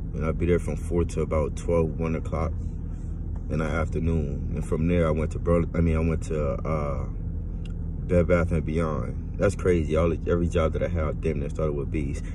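Speaking at a moderate pace in a very deep, low voice, a man keeps a monotone, flat intonation, the sound dry with no echo but with noticeable background noise. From Louisiana. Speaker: vlogger. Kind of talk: personal monologue to camera. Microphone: phone near.

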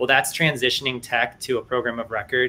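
A bright, sharp tone in an American accent, with monotone, flat intonation. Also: man. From US Midwest, Cleveland, Ohio. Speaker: Air Force innovation liaison. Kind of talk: panel discussion.

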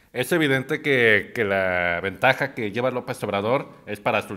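Bright and sharp in tone, the voice moves at a moderate pace with ordinary pitch variation over a quiet background. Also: man. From Mexico. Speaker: political panelist; panelist. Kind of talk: heated debate. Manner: animated. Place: studio.

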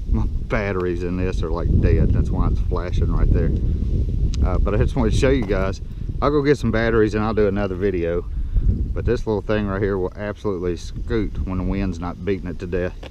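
Dry sound with no echo, a fairly quick pace and noticeable background noise. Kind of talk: casual vlog chat. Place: street. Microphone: phone near.

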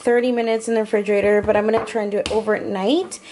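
Light background noise sits behind this woman's voice. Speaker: home cook vlogger. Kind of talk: casual vlog chat. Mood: cheerful relaxed. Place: kitchen.

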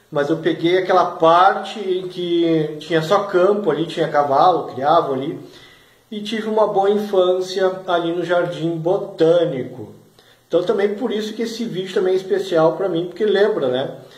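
The speech moves at a moderate pace with ordinary pitch variation, with audible room echo over a quiet background. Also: man, high pitch for a man. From Brazil, Porto Alegre (Rio Grande do Sul); Rio Grande do Sul, Brazil. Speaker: regional culture video blogger. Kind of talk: casual vlog monologue. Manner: animated. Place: home room. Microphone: phone near.

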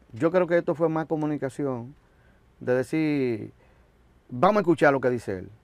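A man with a fairly high pitch talks at a moderate pace with lively intonation and long, frequent pauses. The sound is dry with no echo, against a quiet background. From Dominican Republic. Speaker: musician, drummer. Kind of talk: interview. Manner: halting. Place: studio.

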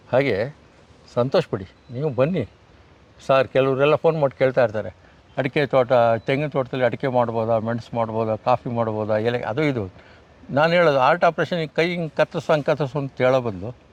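A man with a normal speaking voice talks at medium pitch with ordinary pitch variation, in a dry, close sound with no echo. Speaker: retired education officer and farmer. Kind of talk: interview.

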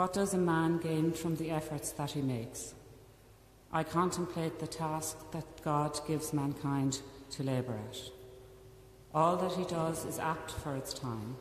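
Through light background noise and audible room echo, a man with a fairly high pitch speaks in fairly even intonation. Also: fairly slow pace. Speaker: reader. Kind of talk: scripture reading. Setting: church. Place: church. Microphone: podium.

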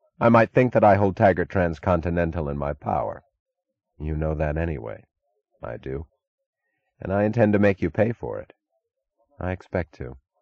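A man's very deep, low voice with vocal fry and a calm tone, lively intonation, big swings in loudness, a moderate pace with long, frequent pauses, a quiet background, and a dry, close sound with no echo. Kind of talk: audiobook narration of a novel, reading dialogue aloud.

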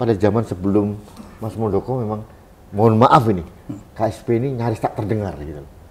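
A man speaks fairly quickly, his loudness swinging widely while his pitch varies in an ordinary way. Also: fairly low pitch for a man. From Indonesia, East Java (Blitar); East Java, Indonesia. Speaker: online talk show host. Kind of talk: interview. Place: office.

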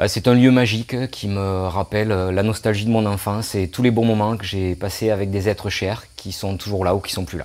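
Fairly low in pitch, a man talks at a moderate pace with fairly even intonation and hardly any pauses. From southern France, Hérault. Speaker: local resident sharing a favourite place. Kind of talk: casual personal testimony. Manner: halting, many hesitations.

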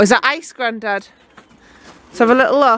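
A woman speaks at a moderate pace with ordinary pitch variation. Her voice is fairly high and fairly bright.

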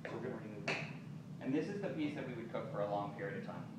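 A man speaks over loud background noise. There is audible echo in the room. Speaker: chef instructor. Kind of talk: cooking class demonstration. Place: shop. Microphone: camera far.

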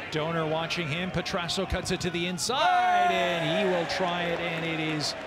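A man with a high pitch talks at a moderate pace over noticeable background noise. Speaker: soccer match commentator. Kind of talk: live match commentary in highlights package. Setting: voiceover over recorded match highlights.

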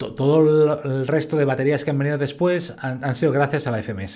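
Over a quiet background, a man talks at a moderate pace with fairly high pitch. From Spain. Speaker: fitness educator. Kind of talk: lecture. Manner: casual.

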